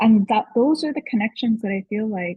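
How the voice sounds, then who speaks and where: A woman at a moderate pace. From western India (Gujarat). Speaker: leadership coach. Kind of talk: podcast interview.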